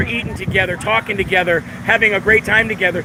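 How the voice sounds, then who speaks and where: Over noticeable background noise, a man talks at a fairly quick pace. His pitch is high, with ordinary variation. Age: 40s. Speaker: traveling show host interviewing people. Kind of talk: street interview. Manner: animated.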